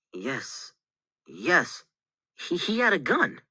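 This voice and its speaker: A man's raspy, high-pitched, put-on character voice. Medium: read story. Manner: stammering, halting.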